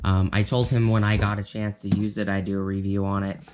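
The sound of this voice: A man talks at a fairly quick pace with a fairly low pitch, little pitch movement and a slightly mellow tone.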